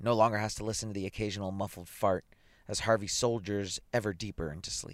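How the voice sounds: The reading voice sounds natural, and its intonation stays fairly even.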